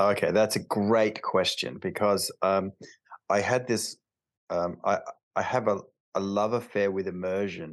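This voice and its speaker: The speaker has an Australian accent and ordinary pitch variation over a quiet background. The pace is fairly slow, with long, frequent pauses. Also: man, fairly low pitch for a man. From Australia, Alice Springs (outback). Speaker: chiropractor. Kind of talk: casual interview chat.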